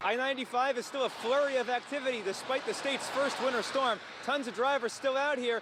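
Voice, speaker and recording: Over noticeable background noise, a man with an extremely high pitch speaks at a fairly quick pace in an energetic tone. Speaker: television news anchor and reporter. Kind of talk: broadcast news reporting. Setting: outdoors, live on-scene report. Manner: urgent, energetic.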